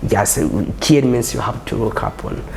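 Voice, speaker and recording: With a Burundian accent, a man speaks at a fairly quick pace and medium pitch, with audible room echo and noticeable background noise. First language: not English. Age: young. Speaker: journalist. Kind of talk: interview. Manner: halting.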